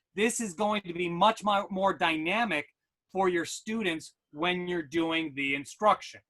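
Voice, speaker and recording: In a New York accent, a man with a high pitch and a bright, sharp tone speaks at a fairly slow pace. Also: ordinary pitch variation. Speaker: educational technology consultant. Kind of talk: webinar tutorial.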